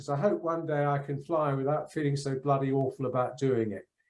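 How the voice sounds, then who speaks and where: In a room with audible echo, a man with a fairly high pitch speaks at a moderate pace with ordinary pitch variation. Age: 60s. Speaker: polar explorer, keynote speaker. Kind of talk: keynote speech. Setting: conference.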